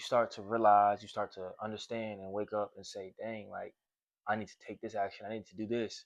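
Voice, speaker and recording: Against a quiet background, a man with a fairly low pitch speaks at a fairly quick pace. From Portland, Oregon. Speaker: self-improvement podcaster. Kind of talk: casual conversation. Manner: animated.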